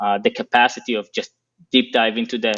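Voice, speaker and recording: Recorded dry and close with no echo, a man with a non-native accent speaks at a fairly quick pace. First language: not English. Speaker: operations executive. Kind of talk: interview. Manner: hesitant with fillers.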